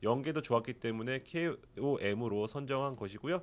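With very wide swings in his pitch, the man talks at a moderate pace. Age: 40s. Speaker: sports journalist. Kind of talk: sports review discussion. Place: studio. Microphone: studio mic.

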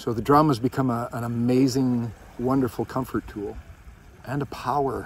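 A man speaks with fairly even intonation over light background noise, and the sound is dry with no echo. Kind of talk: reflective encouragement talk. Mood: calm, soothing. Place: beach. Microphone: phone near.

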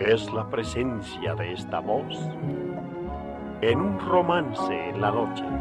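Against loud background music, a man speaks at a very slow pace with long, frequent pauses. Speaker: radio announcer. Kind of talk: poetry reading on radio. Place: studio. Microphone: old recording.

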